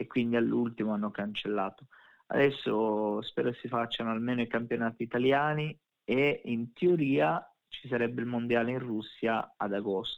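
In an ordinary speaking voice, a man talks at a moderate pace and medium pitch, with ordinary pitch variation. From Sardinia, province of Nuoro. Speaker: navy veteran and competitive skydiver. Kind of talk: interview.

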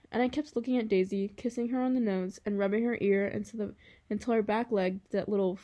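The voice reads naturally.

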